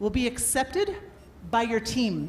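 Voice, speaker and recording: Loud and animated, a woman talks at a moderate pace in a high pitch, with audible room echo and noticeable background noise. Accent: Canadian. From Canada. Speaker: workshop speaker on adaptability. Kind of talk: motivational talk. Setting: stage with audience and microphone.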